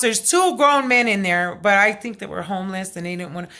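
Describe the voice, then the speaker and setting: A loud woman speaks with a bright, sharp, animated tone and lively intonation. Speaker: vlogger. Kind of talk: casual vlog storytelling.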